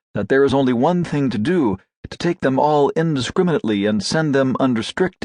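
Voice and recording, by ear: Someone reads aloud in a natural voice, their intonation lively, and the background stays quiet.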